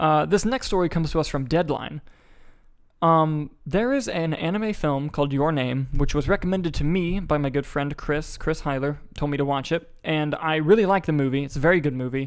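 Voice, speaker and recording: Fairly high in pitch with ordinary pitch variation, a man speaks at a fairly quick pace on a very clean recording with a silent background. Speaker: movie podcast host. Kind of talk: solo podcast commentary. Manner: fast; casual, lots of fillers.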